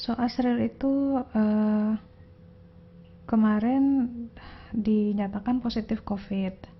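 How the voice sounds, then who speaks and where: A woman's somewhat breathy voice sits at a fairly high pitch with fairly even intonation. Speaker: tarot reader vlogger. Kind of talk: casual personal vlog. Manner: slow; low-energy.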